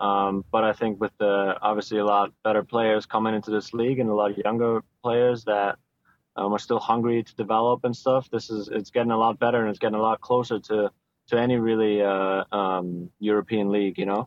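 A man with a German accent, fairly low in pitch, fairly quick, with monotone, flat intonation. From Germany. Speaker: professional soccer player. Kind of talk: interview.

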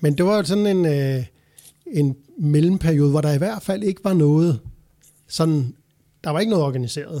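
Over a very clean, silent background, a man with a fairly high pitch and a dark, mellow tone speaks at a moderate pace with ordinary pitch variation and long, frequent pauses. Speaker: cycling expert. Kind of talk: panel discussion. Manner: halting, many fillers.

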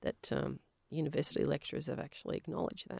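Recorded dry and close with no echo, a woman speaks with an Australian accent. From Western Australia, Polish family. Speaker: geoscientist and science teacher. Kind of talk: interview.

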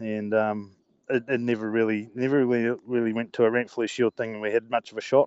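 Delivered at a moderate pace, the speech has monotone, flat intonation in a Southland New Zealand accent. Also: man. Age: 40s. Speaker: rugby player. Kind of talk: interview.

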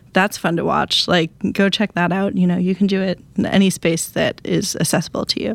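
With an American accent and some vocal fry, a woman talks fairly quickly at a medium pitch with ordinary pitch variation and hardly any pauses. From Wisconsin. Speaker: author. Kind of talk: casual chat.

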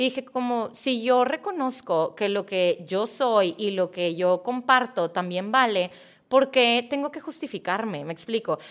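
With lively intonation, a woman speaks at a fairly slow pace. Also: fairly high pitch for a woman. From Mexico. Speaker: mindset coach. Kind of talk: interview.

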